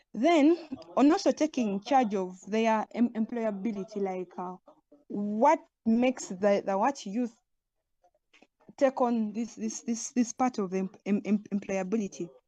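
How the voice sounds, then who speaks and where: The tone is dark and mellow, somewhat breathy, with ordinary pitch variation. Delivery is fairly slow, and the sound is dry and close with no echo. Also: woman, fairly high pitch for a woman. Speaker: youth skills trainer. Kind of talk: webinar panel talk. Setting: online webinar. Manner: halting, repeated words.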